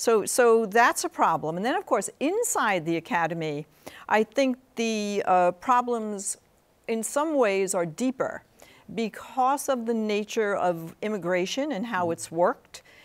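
At a fairly slow pace, a woman speaks with a fairly high pitch and lively intonation. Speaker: psychology professor. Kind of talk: studio interview. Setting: TV studio. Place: studio. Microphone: lapel.

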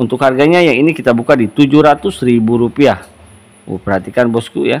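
This is a man with a normal speaking voice. His pitch variation is ordinary. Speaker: gemstone shop seller. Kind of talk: sales pitch, product showcase. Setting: shop video recording. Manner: upbeat pitchman patter, repeating prices and praise; fast, salesy, persuasive.

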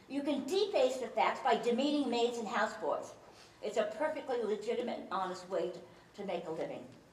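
A woman's fairly quick speech with audible room echo and light background noise. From New York. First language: Chinese. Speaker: speaker, former philosophy teacher. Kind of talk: humorous talk to a live audience. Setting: stage with audience. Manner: humorous, engaging storyteller. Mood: humorous, warm. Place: hall.

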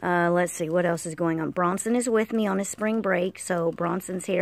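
A woman's unremarkable speaking voice, fairly low in pitch, with fairly even intonation at a moderate pace, in a dry sound with no echo. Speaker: vlogger. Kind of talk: casual vlog chat. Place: street. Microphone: phone near.

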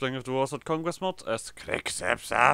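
Here a man uses a put-on character voice that sounds strained. He keeps a medium pitch and a moderate pace. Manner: silly, strained voice.

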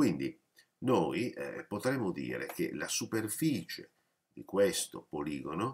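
A man's fairly low voice with vocal fry, very slow, full of very wide pitch swings. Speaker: math teacher. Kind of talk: lecture. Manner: explanatory, with frequent hesitations.

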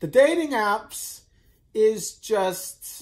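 Against a quiet background, a man with a high pitch makes very wide pitch swings. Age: 20s. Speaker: vlogger. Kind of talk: personal vlog monologue. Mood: tired, lonely, venting. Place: home room. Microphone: phone near.

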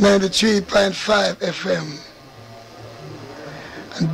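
Music plays in the background as a man speaks. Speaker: singer. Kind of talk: radio station ID. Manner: belted, energetic.

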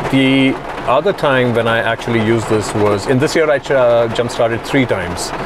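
A man speaks over noticeable background noise in a dry recording with no echo. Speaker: product reviewer. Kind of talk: casual product review vlog. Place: car. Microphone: lapel.

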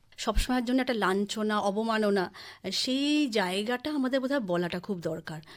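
A woman's voice with lively intonation, an ordinary speaking voice, on a very clean recording with a silent background. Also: fairly high pitch for a woman. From West Bengal, Kalyani (Nadia). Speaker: writer and scholar. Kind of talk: radio interview.

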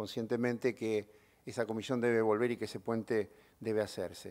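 A man is speaking. His pace is moderate and the background is quiet. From Argentina. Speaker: TV host and award ceremony organizer; ceremony host. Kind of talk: ceremony speech. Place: hall. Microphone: podium.

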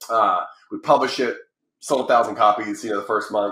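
A man with an American accent at a very fast pace, with audible room echo. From United States. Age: 40s. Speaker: publishing company founder and author. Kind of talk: podcast interview. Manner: animated. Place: home room. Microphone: video call.

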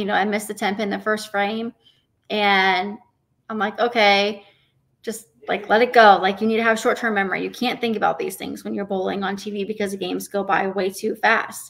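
A bright, sharp voice with an American accent and monotone, flat intonation over a quiet background. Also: woman. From Tucson, Arizona; Arizona. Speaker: professional bowler; podcast guest. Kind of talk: interview. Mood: warm, reflective. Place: home room. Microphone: earbuds.

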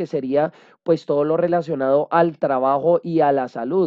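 Someone talks at a fairly slow pace over a quiet background. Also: man. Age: 30s. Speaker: holistic coach and astrology presenter; holistic coach, presenter. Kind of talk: lecture. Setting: video call webinar. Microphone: video call.

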